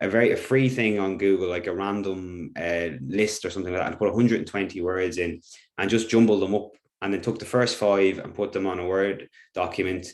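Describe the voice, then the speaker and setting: Speaking quite fast with an Irish accent, a man uses a fairly low pitch and fairly even intonation on a very clean recording with a silent background. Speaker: teacher. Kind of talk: workshop presentation.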